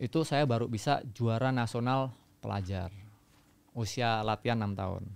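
Here a man talks at medium pitch and moderate pace. His pitch variation is ordinary. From Central Java, Magelang; Central Java, Indonesia. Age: 30s. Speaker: long-distance runner and army officer; podcast guest. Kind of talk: interview storytelling. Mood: calm, reflective. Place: studio. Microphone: studio mic.

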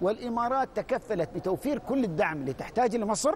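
Over light background noise, a man with an Emirati accent speaks at an extremely high pitch, with very wide pitch swings. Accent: Emirati Gulf Arabic. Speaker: university director. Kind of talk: TV panel discussion. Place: studio. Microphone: lapel.

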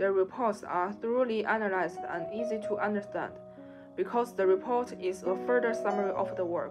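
With clear music in the background, a woman speaks at a fairly quick pace. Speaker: presenter. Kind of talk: class presentation. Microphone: webcam.

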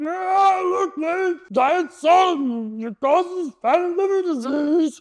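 A put-on character voice shouts at an extremely high pitch. The pace is very slow. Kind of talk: educational talk to camera. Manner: comedic imitation.

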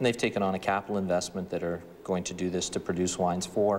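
Light background noise sits under a man's very deep, low pitch and fairly even intonation. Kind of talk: interview answer. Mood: calm, businesslike. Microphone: lapel.

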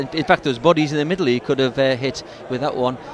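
Noticeable background noise behind a man with a relaxed tone and ordinary pitch variation. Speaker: co-commentator, match analyst. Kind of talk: live football commentary, analysis. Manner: relaxed, conversational, hesitant with fillers.

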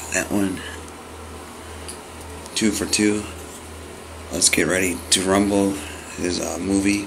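With an American accent, a man speaks at a fairly low pitch and fairly slow pace in monotone, flat intonation. Long, frequent pauses break up his speech, and there is noticeable background noise. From Los Angeles, California. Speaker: autograph collector who posts mail-day videos. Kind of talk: casual talk to camera, vlog. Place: home room.

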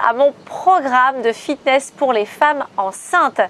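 A woman talks in a high pitch with ordinary pitch variation. The sound is dry, with no echo. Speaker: fitness coach. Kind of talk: workout tutorial. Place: open country. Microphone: lapel.

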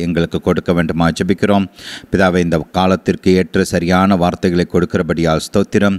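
This man talks in a monotone with flat intonation and a very deep, low pitch. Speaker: preacher. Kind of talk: prayer and sermon. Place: studio. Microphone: handheld.

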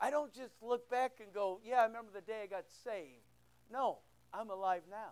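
A man talks at a moderate pace with a high pitch and ordinary pitch variation. His loudness swings widely. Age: 60s. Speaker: pastor. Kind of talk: sermon. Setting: church. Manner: informal, joking. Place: church.

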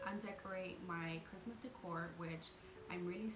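A woman talks at a moderate pace while music plays clearly in the background. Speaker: home vlogger. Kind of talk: casual vlog chat. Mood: warm, chatty. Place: home room. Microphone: phone near.

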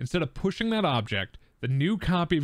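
A man with an American accent speaks with lively intonation. The recording is very clean with a silent background, dry and close with no echo. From Wisconsin, US Midwest. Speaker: board game youtuber host. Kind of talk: casual tabletop gameplay chat.

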